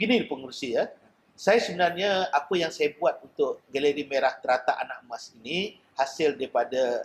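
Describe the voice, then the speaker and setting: A man's fairly high voice rises and falls with lively intonation as he talks at a fairly quick clip. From Malaysia, Selangor. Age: 50s. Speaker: painter. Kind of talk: interview. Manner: halting.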